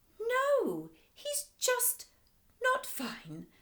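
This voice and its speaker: Doing a put-on character voice, a woman squeaks out her words at an extremely high pitch. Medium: read story. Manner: gushing, affectionate.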